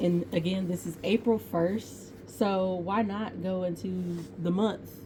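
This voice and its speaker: Dark, mellow and somewhat breathy, a woman's voice with an American accent and fairly even intonation. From Texas. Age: 20s. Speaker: painting vlogger. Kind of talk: casual tutorial. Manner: chatty, informal.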